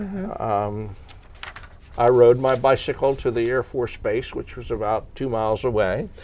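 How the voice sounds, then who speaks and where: Talking at a moderate pace over noticeable background noise, a man with an American accent has a medium pitch and ordinary pitch variation. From Narberth, Pennsylvania. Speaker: retired teacher. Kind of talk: oral history interview answer.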